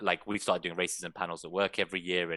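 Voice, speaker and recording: Talking at a very fast pace with a London accent, a man with a very deep, low pitch and a bright, sharp tone keeps his intonation fairly even in a dry, close recording with no echo. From England, London. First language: Persian. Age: 30s. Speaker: fantasy football content creator. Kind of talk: casual chat.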